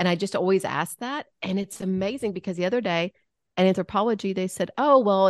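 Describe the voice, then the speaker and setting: A plain, everyday voice at a fairly quick pace with ordinary pitch variation, in a dry, close sound with no echo against a quiet background. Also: woman. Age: 50s. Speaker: comedic actress, podcast co-host. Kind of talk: casual interview chat.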